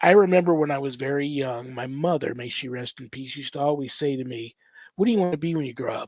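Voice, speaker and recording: A man speaks at a fairly quick pace with ordinary pitch variation, in a dry, close sound with no echo. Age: 60s. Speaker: exorcist and ordained priest. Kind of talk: testimony. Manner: halting.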